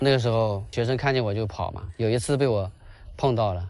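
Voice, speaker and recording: The speaker has a normal speaking voice, with a fairly quick pace and ordinary pitch variation. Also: man. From rural Quzhou, Zhejiang. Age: 30s. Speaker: primary school PE teacher. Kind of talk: interview. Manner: casual, with fillers.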